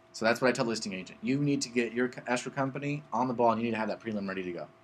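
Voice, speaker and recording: A very fast-talking man with medium pitch and ordinary pitch variation. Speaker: real estate agent teaching a class. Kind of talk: live class / workshop with attendees. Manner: blunt, direct.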